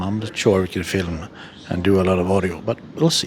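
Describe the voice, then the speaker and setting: A quiet man's voice, fairly low in pitch, over noticeable background noise. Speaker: travel vlogger. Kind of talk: vlog narration. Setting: VIP lounge of a concert hall. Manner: hesitant, many fillers; quiet indoor voice.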